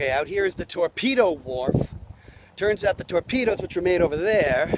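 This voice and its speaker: A man speaks at a moderate pace with a high pitch and lively intonation. The sound is dry and close with no echo, but background noise is noticeable. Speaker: travel vlogger. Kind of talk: casual on-location tour narration. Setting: outdoors at a fort by the water. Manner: animated; loud, yelling over wind.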